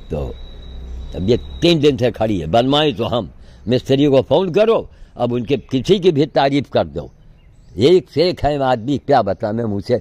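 A man's dark, mellow voice with vocal fry at a medium pitch, making very wide pitch swings at a fairly slow pace with long, frequent pauses, in a dry sound with no echo. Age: 80s+. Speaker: sadhu activist. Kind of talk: monologue vlog. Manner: animated. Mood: frustrated, complaining. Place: garden. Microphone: phone near.

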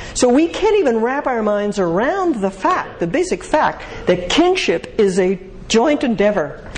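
Light background noise sits behind a woman talking at a fairly slow pace. Her pitch swings very widely. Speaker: speaker answering audience questions on marriage; speaker. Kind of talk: lecture Q&A. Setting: stage with audience. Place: hall.

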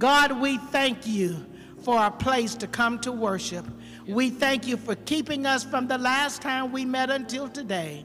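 A woman's high voice at a fairly slow pace with ordinary pitch variation, faint music in the background. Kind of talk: spoken prayer. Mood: earnest, reverent. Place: church. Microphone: handheld.

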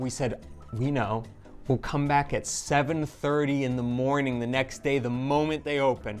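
With faint music in the background, a man speaks at a very slow pace and with fairly even intonation. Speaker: travel food vlogger. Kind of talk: casual vlog chat. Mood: amused, storytelling. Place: cafe.

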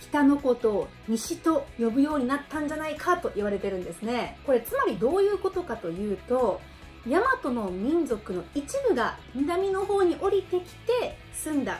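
A woman's high-pitched, upbeat voice with very wide pitch swings and hardly any pauses, faint music in the background. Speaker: Okinawan language teacher; language lecturer. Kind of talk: educational talk to camera. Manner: upbeat, friendly.

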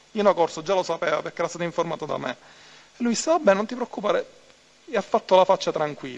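A man speaks very fast at high pitch, with ordinary pitch variation. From Palermo, Sicily; Sicily. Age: 30s. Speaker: mafia turncoat witness; witness. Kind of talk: court testimony. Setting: courtroom. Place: hall.

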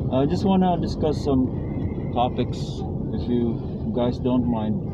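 A man's voice comes through dry with no echo, set against loud background noise. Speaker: driver vlogger. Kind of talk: casual vlog chat. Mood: calm reflective opinions. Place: car. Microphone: camera far.

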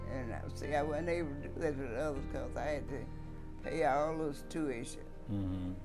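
Over clear background music, a woman with a Southern US accent speaks in a very deep, low voice with very wide pitch swings. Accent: Southern American. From Mississippi. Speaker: retired teacher. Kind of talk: interview answer. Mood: warm, reminiscing. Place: home room.

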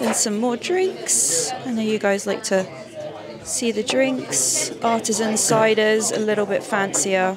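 Crowd noise sits in the background as a woman talks at a fairly slow pace in a dry sound with no echo. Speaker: vlogger. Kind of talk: casual vlog chat. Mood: cheerful, playful. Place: bar. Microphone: handheld.

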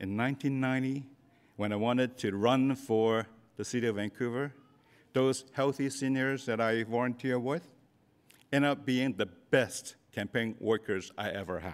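Speaking fairly slowly, a man with a Cantonese accent keeps a medium pitch and ordinary pitch variation. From Hong Kong. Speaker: convocation keynote speaker, business leader; keynote speaker. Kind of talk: commencement speech. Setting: stage with audience. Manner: humorous. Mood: personal, storytelling, sometimes humorous. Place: hall. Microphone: podium.

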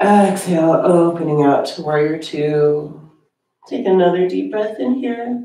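A soft-spoken woman talks at a fairly slow pace with a fairly low pitch and a dark, mellow tone. Her intonation is lively, and room echo can be heard. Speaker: yoga teacher. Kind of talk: guided meditation. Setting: online yoga class video. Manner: calm, soothing, slow and gently paced; soft-spoken, with long pauses between cues. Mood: calm, soothing. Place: home room.

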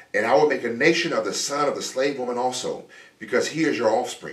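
A man speaks at a fairly quick pace, with audible room echo. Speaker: preacher. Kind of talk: sermon. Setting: church. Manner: animated; conversational. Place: home room.

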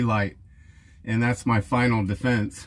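The speaker is a man with fairly even intonation. He talks at a fairly slow pace. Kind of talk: tutorial. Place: street.

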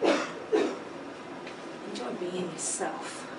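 A woman's voice over noticeable background noise. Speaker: actor performing a monologue. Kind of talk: stage intro and dramatic monologue. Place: stage. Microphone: camera far.

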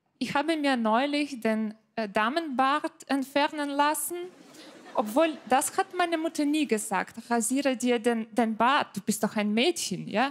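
Speaking very slowly, a woman uses a high pitch with a Ukrainian accent. Her intonation is lively. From Ukraine. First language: Ukrainian or Russian (speaking German). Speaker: comedian. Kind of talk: stand-up. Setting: stage with audience. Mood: dry, playful humour. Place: stage. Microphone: handheld.

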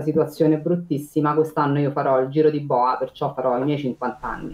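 A woman's very deep, low voice in a room with audible echo. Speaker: condominium administrator. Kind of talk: interview, casual chat. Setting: video call. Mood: warm, content. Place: home room. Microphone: video call.

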